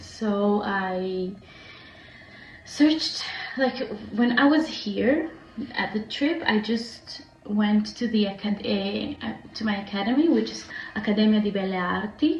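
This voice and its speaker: Amid noticeable background noise and audible room echo, a woman speaks very slowly with lively intonation and long, frequent pauses. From Israel. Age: 20s. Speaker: vlogger, foreign student. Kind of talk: casual vlog monologue. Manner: hesitant, many fillers.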